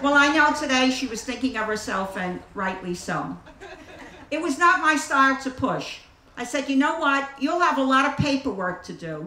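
A woman with a high pitch uses a raised, projected voice and an animated, warm tone with lively intonation. She speaks at a moderate pace over noticeable background noise. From the Bronx, New York City. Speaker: AA circuit speaker. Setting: outdoor picnic with live audience. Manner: animated, wry and warm storyteller with comic timing, pausing for laughs.

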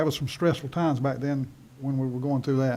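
A man's fairly high, dark and mellow voice in a flat monotone, with a North Carolina accent. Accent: Southern US (North Carolina). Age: 60s. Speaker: school board chair. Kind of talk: public meeting. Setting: meeting room. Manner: halting.

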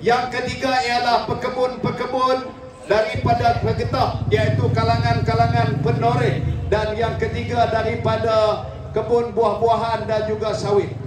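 A man at a fairly slow pace, with audible room echo and noticeable background noise. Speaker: politician. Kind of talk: political rally speech. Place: hall.

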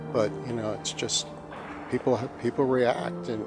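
A man's voice with ordinary pitch variation over clear music in the background. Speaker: priest. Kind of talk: interview answer. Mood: reflective, warm. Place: church.

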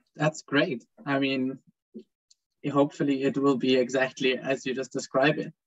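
Against a quiet background, a man talks at a moderate pace in a monotone, flat delivery broken by long, frequent pauses. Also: dry sound with no echo. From Switzerland. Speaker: student moderator. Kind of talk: panel moderation. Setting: video call. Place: home room. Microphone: video call.

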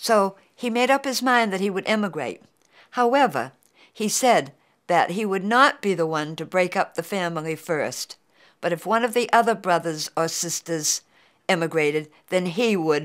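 With a New England accent, a woman speaks at a moderate pace and medium pitch, her intonation lively. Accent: New England American. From Beverly, Massachusetts. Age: 80s+. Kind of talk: oral history interview answer.

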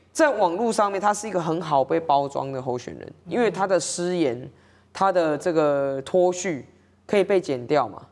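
At a moderate pace, a woman with a fairly low pitch uses lively intonation and big swings in loudness. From Taiwan. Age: 30s. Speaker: city councillor. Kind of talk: political talk show discussion. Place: studio. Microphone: lapel.

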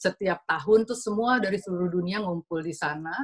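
Her voice somewhat breathy and medium in pitch, a woman talks at a fairly quick pace with ordinary pitch variation against a quiet background. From Indonesia. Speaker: design director and co-founder of an art and design event; speaker. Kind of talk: slide presentation. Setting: video call webinar. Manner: fast. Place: home room. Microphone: video call.

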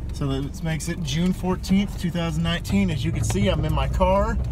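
Noticeable background noise runs through a dry recording with no echo. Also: man. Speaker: vlogger. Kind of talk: casual vlog chat. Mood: cheerful, relaxed. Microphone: phone near.

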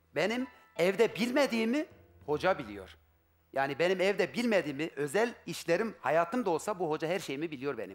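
A high-pitched man at a moderate pace, animated in tone, with very wide pitch swings over faint background music. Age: 40s. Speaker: husband seeking his wife on a TV show; talk show guest. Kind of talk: emotional testimony. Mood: upset, aggrieved. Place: studio. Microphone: headset.

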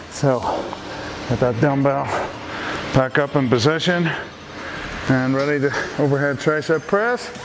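Music plays in the background as a man speaks at a moderate pace with very even loudness and ordinary pitch variation. He leaves long, frequent pauses. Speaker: fitness instructor. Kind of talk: workout instruction. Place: gym.

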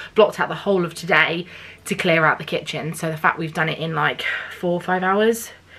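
An ordinary speaking voice with fairly even intonation. The pace is fairly quick. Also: woman, fairly low pitch for a woman. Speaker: home renovation vlogger. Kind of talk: casual vlog chat.

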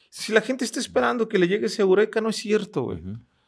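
The speaker is male. Around him, everything is quiet. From Mexico, Ensenada, Baja California; Baja California, Mexico. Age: 30s. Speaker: motivational speaker. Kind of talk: casual interview chat, life story. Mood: reflective, earnest storytelling. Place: studio. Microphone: studio mic.

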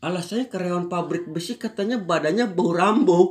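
Lively intonation from a man over a quiet background. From Indonesia. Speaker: amateur stand-up comedian and factory worker. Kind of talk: stand-up comedy set with punchlines, jokes about factory work. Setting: stage comedy competition. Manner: animated, fast, punchy slangy delivery with exaggerated mimicry. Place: home room. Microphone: phone near.

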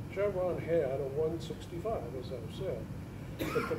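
A man's voice over noticeable background noise. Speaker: IT contractor. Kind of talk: conference panel discussion. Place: hall. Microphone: camera far.

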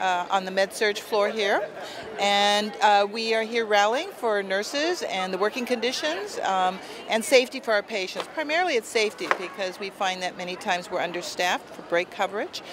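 A woman talks at a moderate pace with ordinary pitch variation. The sound is dry with no echo, though background noise is noticeable. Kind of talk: interview answer. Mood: earnest, concerned. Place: street. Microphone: phone near.

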